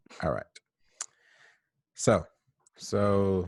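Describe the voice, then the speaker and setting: In a very clean recording with a silent background, a man talks in a monotone, flat intonation. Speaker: podcast co-host. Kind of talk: casual chat. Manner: slow.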